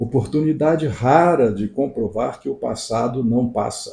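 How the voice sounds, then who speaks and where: A somewhat breathy man speaks at a fairly slow pace with a dark, mellow tone. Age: 80s+. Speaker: psychoanalyst. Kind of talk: reading aloud; casual chat. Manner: soft-spoken; halting.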